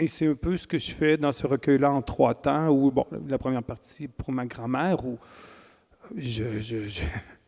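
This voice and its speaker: With a Quebec accent, a man speaks at a fairly slow pace with a fairly high pitch and ordinary pitch variation. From Quebec, Wendake (Huron-Wendat First Nation). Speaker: poet and writer. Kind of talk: interview at a literary festival. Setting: stage with live audience. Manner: hesitant, many fillers and repetitions.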